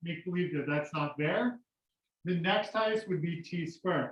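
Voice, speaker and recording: Loud and high-pitched, a man speaks with ordinary pitch variation. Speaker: high school math teacher. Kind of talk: classroom lecture. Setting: classroom with students.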